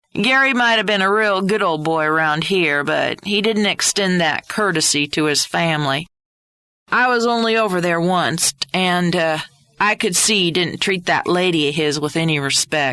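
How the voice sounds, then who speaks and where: A put-on character voice that sounds female, drawling at a moderate pace and middle pitch. The background is quiet. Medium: read story. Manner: courteous, folksy, drawling.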